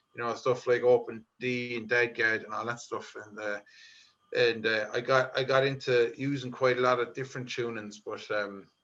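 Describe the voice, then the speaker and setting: In a Limerick accent, a bright, sharp voice holds a flat, monotone intonation while its loudness swings widely. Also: man, medium pitch for a man, moderate pace. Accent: Irish, Limerick. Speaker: folk musician. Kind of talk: interview. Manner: hesitant, many fillers.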